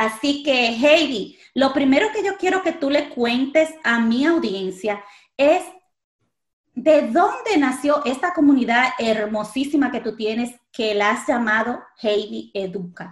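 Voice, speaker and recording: A woman's high-pitched, very slow delivery with lively intonation. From Dominican Republic. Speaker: podcast host. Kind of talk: casual interview.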